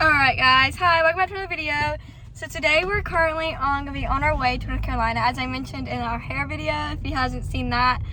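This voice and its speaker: Speaking at a very fast pace, a woman is heard. There is audible room echo and noticeable background noise. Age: young. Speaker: vlogger. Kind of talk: casual vlog. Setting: in a car.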